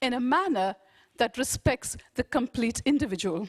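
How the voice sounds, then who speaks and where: Her high voice carries lively intonation as the woman speaks. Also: dry, close sound with no echo. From India. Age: 50s. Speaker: education researcher. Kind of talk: conference lecture. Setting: conference with audience.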